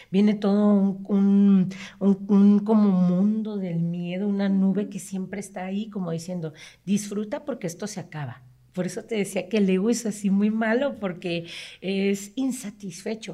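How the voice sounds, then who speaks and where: A woman talks at a fairly slow pace and medium pitch, her voice somewhat breathy. Her tone is dark and mellow, with fairly even intonation. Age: 40s. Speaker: psychologist. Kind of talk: casual interview explaining psychology.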